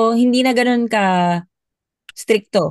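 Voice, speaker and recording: A plain, everyday voice from a woman, fairly high in pitch, with a dry, close sound and no echo. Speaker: former overseas worker. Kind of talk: casual chat.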